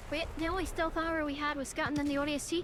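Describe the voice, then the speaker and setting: A woman's raised, projected voice with a bright, sharp tone and an Irish accent. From Ireland. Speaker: video game streamer. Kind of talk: casual gaming livestream commentary. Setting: live stream while gaming. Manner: casual.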